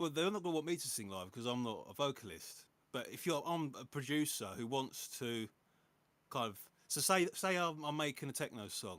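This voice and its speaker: On a very clean recording with a silent background, a man with a fairly high pitch talks at a fairly quick pace with very wide pitch swings. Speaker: music producer. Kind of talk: casual chat.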